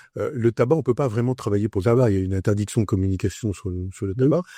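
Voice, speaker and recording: Recorded very cleanly against a silent background, with a dry, close sound and no echo, a man talks at a very fast pace in a somewhat breathy voice with a dark, mellow tone, his fairly low pitch showing ordinary variation. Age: 70s. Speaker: entrepreneur, communications agency founder. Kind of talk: interview.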